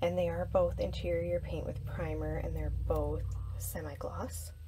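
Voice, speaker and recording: A woman is soft-spoken. She talks at a fairly slow pace. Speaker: lifestyle vlogger. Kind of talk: casual vlog. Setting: in her closet at home.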